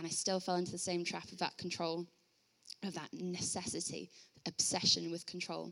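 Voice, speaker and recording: A woman talks at a fairly quick pace with a bright, sharp tone. Her pitch is fairly low and her intonation monotone and flat. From Bradford, northern England. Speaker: youth group leader giving testimony. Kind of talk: testimony. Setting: church.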